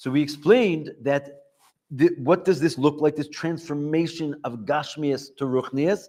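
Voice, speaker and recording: A man talks with a fairly high pitch, a dark, mellow tone, and ordinary pitch variation. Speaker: yeshiva teacher. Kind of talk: lecture. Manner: fast.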